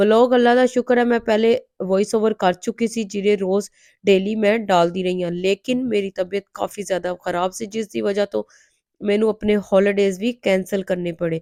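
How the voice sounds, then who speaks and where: On a very clean recording with a silent background, a woman's medium-pitched voice with a dark, mellow tone sounds dry and close with no echo, keeping a fairly even intonation at a fairly slow pace. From Pakistan. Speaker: vlogger, mother. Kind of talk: vlog voice-over.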